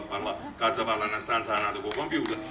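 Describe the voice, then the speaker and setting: A man talks with a Neapolitan accent. Audible room echo and noticeable background noise fill the recording. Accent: Neapolitan Italian. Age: middle-aged. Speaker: amateur theatre director. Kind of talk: stage speech to audience. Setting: stage with audience. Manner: halting.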